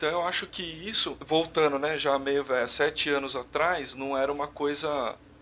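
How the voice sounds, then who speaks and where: A man's fairly high, bright, sharp voice at a moderate pace, with fairly even intonation and hardly any pauses. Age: 30s. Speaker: electrical engineer. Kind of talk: interview, casual conversation.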